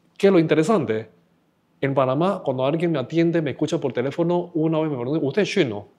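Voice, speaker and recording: A man's fairly high voice with a dark, mellow tone, ordinary pitch variation and a very fast pace, against a quiet background. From China, raised in Panama from age ten. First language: Chinese (speaking Spanish). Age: 60s. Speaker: podcast guest. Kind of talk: casual chat. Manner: halting.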